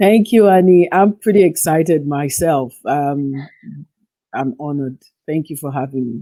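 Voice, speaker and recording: Speaking at a moderate pace in an American accent, a woman has a very deep, low pitch and a dark, mellow tone, with lively intonation and big swings in loudness. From western Nigeria, Yoruba. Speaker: psychotherapist and writer. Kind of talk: interview.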